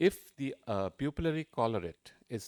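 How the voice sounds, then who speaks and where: A man speaks with ordinary pitch variation. The recording is very clean, with a silent background and a dry, close sound with no echo. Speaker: ophthalmology professor and surgeon. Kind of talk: conference lecture. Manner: fast.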